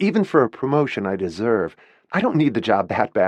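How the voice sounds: The voice reads aloud naturally.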